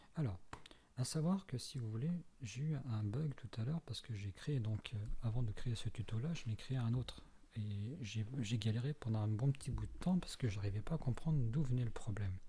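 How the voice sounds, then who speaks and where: At a moderate pace, a man talks in a medium pitch, somewhat breathy, with ordinary pitch variation. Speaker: tutorial maker. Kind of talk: tutorial. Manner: halting.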